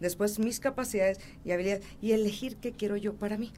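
A woman at a fairly quick pace. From Mexico City. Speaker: motivational speaker and author. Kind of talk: interview. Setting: studio.

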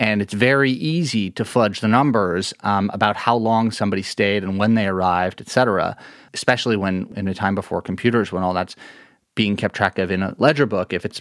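In a plain, everyday voice, a man with a fairly low pitch and an American accent speaks at a fairly quick pace with ordinary pitch variation, on a very clean recording with a silent background and a dry, close sound with no echo. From New York City, Lower Manhattan. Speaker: journalist and author. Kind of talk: interview.

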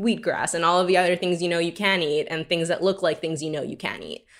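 In a very clean recording with a silent background, a woman with a New York accent speaks at a fairly low pitch in a flat monotone. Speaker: tech product director. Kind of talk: interview.

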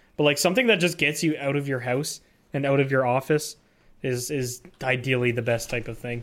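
Speaking at a fairly quick pace with a slight Canadian accent, a man keeps a medium pitch and fairly even intonation on a very clean recording with a silent background. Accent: slight Canadian, mostly on 'ou' words. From Canada, near Detroit (southern Ontario). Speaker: podcast co-host. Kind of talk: casual chat.

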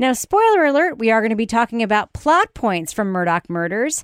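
A woman at a fairly quick pace in an animated tone, with a dry, close sound with no echo and a very clean, silent background. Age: 40s. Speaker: true crime podcast host. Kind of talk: casual chat; scripted narration.

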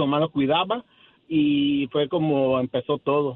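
A man with an unremarkable speaking voice, fairly high in pitch, with ordinary pitch variation. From Mexico, Acapulco. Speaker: caller, small business owner. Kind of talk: phone call-in. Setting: phone call.

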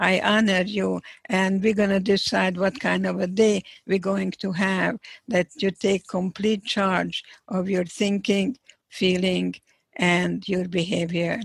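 Her medium-pitched voice is somewhat breathy and monotone, moving at a very slow pace in a dry, close recording with no echo. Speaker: psychologist, Holocaust survivor. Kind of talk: interview.

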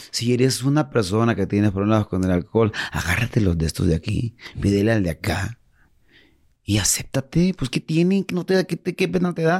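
The recording is very clean and the background silent. In it, a man's pitch swings very widely. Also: medium pitch for a man, moderate pace, dry, close sound with no echo. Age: 40s. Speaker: musician in addiction recovery. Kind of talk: interview. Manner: animated.

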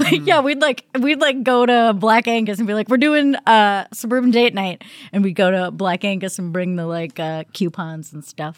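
With a plain, everyday voice, a woman at medium pitch speaks at a moderate pace with lively intonation and hardly any pauses, in a very clean recording with a silent background. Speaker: musician who plays the saw. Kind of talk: casual chat.

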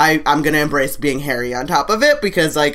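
At a fast pace, a woman with a low pitch speaks in a fairly bright tone with lively intonation.

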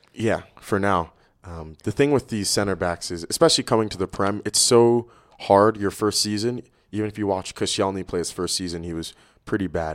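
A man's normal speaking voice with an American accent, a fairly quick pace, and ordinary pitch variation, on a very clean recording with a silent background. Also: fairly low pitch for a man. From New York City. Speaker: soccer coach. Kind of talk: casual chat.

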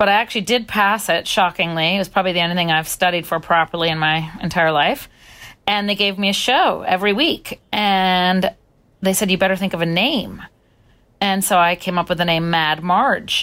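A woman uses a normal speaking voice at a medium pitch and a moderate pace. Her loudness is very even, and the recording is very clean with a silent background. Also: ordinary pitch variation. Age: 40s. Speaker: DJ. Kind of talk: interview.

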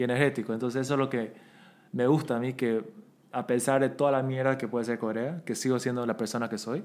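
A man with a medium pitch and fairly even intonation rattles along at a very fast pace. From Bolivia. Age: 30s. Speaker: podcast guest. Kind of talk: casual chat.

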